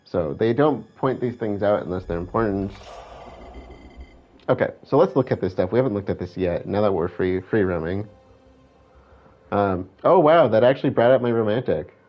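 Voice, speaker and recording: Music plays behind a man who speaks at a moderate pace and fairly low pitch, with lively intonation and long, frequent pauses. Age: 30s. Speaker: video game streamer. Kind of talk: gameplay commentary.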